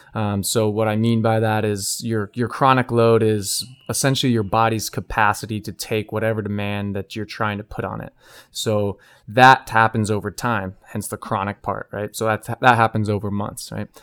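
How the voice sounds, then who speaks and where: A man talks at a moderate pace in a fairly low, flat, monotone voice. The recording is very clean and dry, close-miked with a silent background and no echo. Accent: American. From California and Arizona. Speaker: chiropractor. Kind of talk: casual interview chat.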